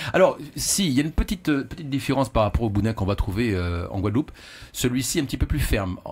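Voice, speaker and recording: Speaking at a very fast pace, a man with a medium pitch and a somewhat breathy voice makes very wide pitch swings. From French Antilles. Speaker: caterer. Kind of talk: casual chat. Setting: radio studio. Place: studio. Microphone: studio mic.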